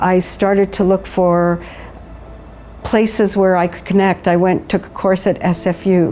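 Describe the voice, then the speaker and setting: The speaker, in a Canadian accent, keeps a moderate pace and fairly even intonation while music plays in the background. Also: woman. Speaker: widow. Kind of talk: interview answer.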